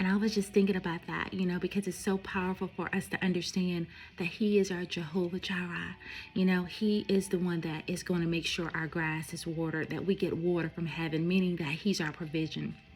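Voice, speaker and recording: Somewhat breathy speech at a fairly quick pace with monotone, flat intonation. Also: woman. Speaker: faith vlogger. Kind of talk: devotional talk.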